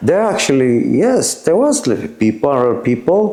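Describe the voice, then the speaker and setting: Over noticeable background noise and audible room echo, a man with a medium pitch talks at a moderate pace. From Czech Republic, Teplice (North Bohemia). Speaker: former punk, interview subject. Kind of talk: casual interview. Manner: halting, many fillers.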